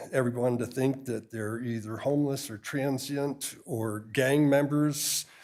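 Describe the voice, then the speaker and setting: A man speaks in a normal speaking voice at a medium pitch. His intonation is fairly even and his pace fairly slow. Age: 60s. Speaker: realtor, public commenter. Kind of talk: public comment at council meeting. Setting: city council chamber.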